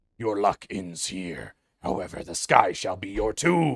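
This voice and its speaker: A man talks at a fairly low pitch and a fairly slow pace. He is doing a put-on character voice. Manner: menacing, pompous.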